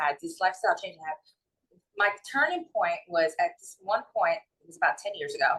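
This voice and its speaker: A woman speaks at a moderate pace. She has a strong New York accent. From New York City / North Jersey. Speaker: holistic wellness and mindset coach. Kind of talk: interview.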